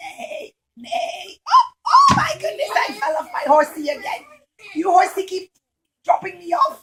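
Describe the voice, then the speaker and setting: A cartoonish character voice from a woman, extremely high in pitch, with very wide pitch swings at a moderate pace. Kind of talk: puppet show storytelling for young children. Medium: puppet. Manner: exclaiming, flustered.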